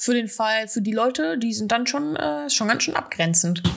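Her intonation lively, a woman with a normal speaking voice and fairly high pitch talks at a moderate pace. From Germany, Ostwestfalen-Lippe. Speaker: podcast host, photography student. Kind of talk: casual chat.

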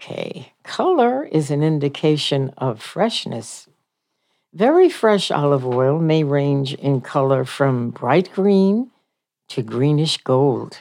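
Against a quiet background, a woman with a very deep, low pitch and a dark, mellow tone speaks very slowly with lively intonation. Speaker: radio host. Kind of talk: casual monologue. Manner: chatty, conversational.

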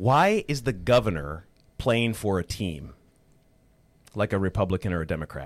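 In an Upper Midwest accent, a man speaks at a moderate pace with very wide pitch swings and vocal fry. The sound is dry and close with no echo, on a very clean recording with a silent background. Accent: Upper Midwest (Minnesota). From rural Minnesota, Otter Tail County. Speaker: political candidate, former broadcaster. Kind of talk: radio interview. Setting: radio studio.

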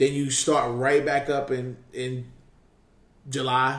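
A man speaks in a New York accent at a medium pitch, his intonation monotone and flat. Room echo is audible. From New York, Queens. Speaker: basketball scout and podcast host. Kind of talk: casual chat.

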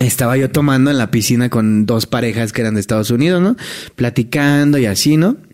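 This is a man with a Mexican accent. His pitch is medium. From Mexico. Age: 30s. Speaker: hotel entertainer. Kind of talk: casual chat.

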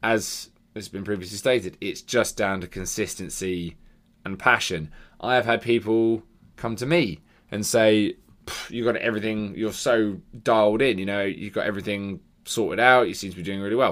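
On a very clean recording with a silent background, a man with an ordinary speaking voice talks at a moderate pace in a fairly low pitch with ordinary pitch variation. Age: 30s. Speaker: fitness coach and podcast host. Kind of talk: solo monologue podcast. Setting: home bedroom.

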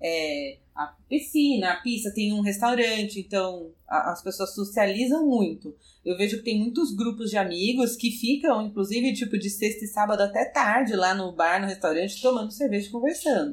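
Lively in intonation, a woman speaks in a plain, everyday voice at a fairly high pitch. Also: moderate pace, hardly any pauses. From Brazil, São Paulo city. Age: 30s. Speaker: podcast guest. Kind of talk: casual chat.

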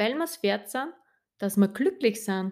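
Speaking in a rural Austrian accent, a woman with a fairly high pitch is captured in a very clean recording with a silent background. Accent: Austrian, audibly rural. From Austria, rural Upper Austria. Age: 30s. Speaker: life coach and kinesiologist. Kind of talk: solo podcast monologue. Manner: cheerful, warm.

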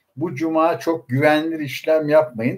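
Moderately paced speech from a man with a fairly high pitch. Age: 60s. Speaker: investment fund commentator. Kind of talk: casual finance livestream talk. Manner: hesitant fillers, frequent e, ee.

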